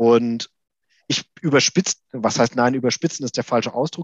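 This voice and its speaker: In a normal speaking voice, a man talks at a moderate pace and medium pitch with ordinary pitch variation, the sound dry and close with no echo and the background quiet. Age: 40s. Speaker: systemic coach and organisational developer. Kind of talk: interview.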